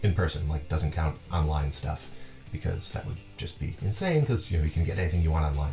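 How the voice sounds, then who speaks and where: Music plays in the background while a man talks at a fairly quick pace. His pitch is very deep and low. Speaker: collector. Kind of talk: casual talk to camera. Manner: hesitant, many fillers.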